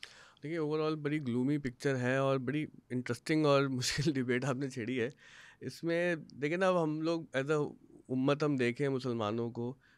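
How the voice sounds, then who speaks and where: A man's plain, everyday voice, fairly high-pitched for a man, at a fairly slow pace with fairly even intonation and a dry sound with no echo. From Pakistan. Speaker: podcast host. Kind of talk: interview. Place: studio. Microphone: studio mic.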